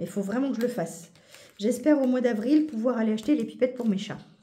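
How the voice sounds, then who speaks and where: A woman's very fast speech with a dark, mellow tone, lively intonation and audible room echo. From Paris region, France. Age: 40s. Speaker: budgeting YouTuber. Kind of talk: casual chat. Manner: animated.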